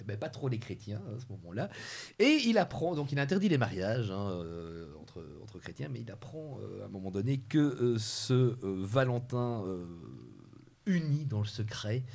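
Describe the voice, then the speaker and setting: A man with an unremarkable speaking voice talks at medium pitch and a fairly slow pace. His intonation is lively and his loudness swings widely. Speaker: TV show host. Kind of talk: TV quiz hosting.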